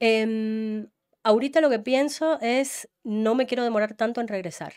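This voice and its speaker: Speaking fairly slowly, a woman uses a fairly high pitch with ordinary pitch variation. The recording is very clean, with a silent background. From Ecuador. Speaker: journalist. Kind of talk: interview conversation.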